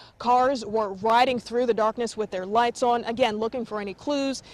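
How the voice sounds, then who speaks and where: A woman's fairly high voice moves at a moderate pace with fairly even intonation, while noticeable background noise sits behind it. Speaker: TV news reporter. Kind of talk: TV news live shot reporting.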